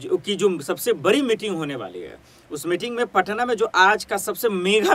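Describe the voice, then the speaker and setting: This man talks at a high pitch with ordinary pitch variation. His pace is fairly slow. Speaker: news presenter. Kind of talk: news commentary. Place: studio.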